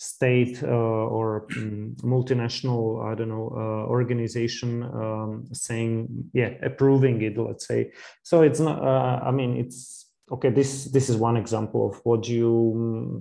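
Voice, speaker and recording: His voice has a dark, mellow tone at a medium pitch. The man's intonation stays fairly even. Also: fairly slow pace. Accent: Slovak. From Slovakia. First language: Slovak. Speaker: podcast host. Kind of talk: interview conversation. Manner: halting, many fillers.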